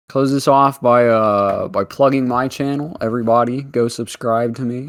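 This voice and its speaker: On a very clean recording with a silent background, a man with an American accent speaks at a medium pitch and a moderate pace. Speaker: streamer. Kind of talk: casual chat. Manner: animated.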